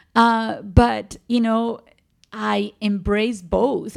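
A woman is speaking. She has a Spanish accent. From Colombia, Medellin. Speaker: physician. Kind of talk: interview. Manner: animated.

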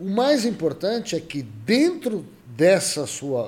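The man's pitch swings very widely as he talks at a very slow pace. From Brazil, São Paulo state interior (Jaboticabal). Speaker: virologist professor. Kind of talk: interview.

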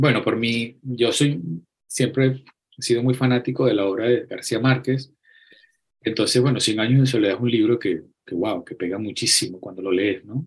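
A man with a Venezuelan accent speaks at a moderate pace and medium pitch, somewhat breathy, with ordinary pitch variation. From Venezuela (Acarigua, Barquisimeto). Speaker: photographer. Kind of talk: interview. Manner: halting, frequent repetitions.

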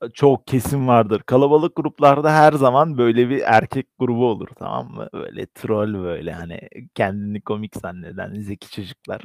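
In an ordinary speaking voice with lively intonation and big swings in loudness, the speaker goes at a moderate pace with hardly any pauses, on a very clean recording with a silent background and a dry, close sound with no echo. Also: man, medium pitch for a man. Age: 20s. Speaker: podcast co-host. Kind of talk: casual chat.

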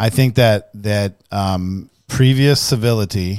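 A man speaks very slowly at a fairly low pitch. The recording is very clean, with a silent background. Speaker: realtor and podcast co-host. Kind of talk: casual chat. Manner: loud.

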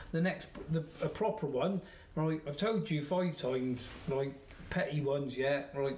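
This man has a West Country accent and a fairly high pitch. He talks at a moderate pace with ordinary pitch variation. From Somerset, England. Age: 50s. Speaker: football referee. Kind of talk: casual chat.

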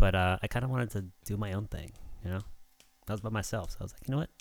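With lively intonation, the speaker goes at a very fast pace broken by long, frequent pauses. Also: man. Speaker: podcast host. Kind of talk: casual chat. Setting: live stream.

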